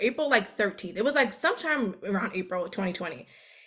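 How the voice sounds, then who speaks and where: A woman with an American accent, an ordinary speaking voice, medium pitch, ordinary pitch variation and a fairly quick pace. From New York City, Queens. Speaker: time management coach. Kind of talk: casual chat.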